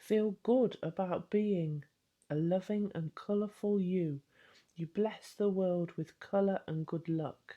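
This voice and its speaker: In a British accent, a woman talks at a very slow pace against a quiet background. Her medium pitch shows ordinary variation. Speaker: spiritual coach and card reader. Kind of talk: tarot card reading.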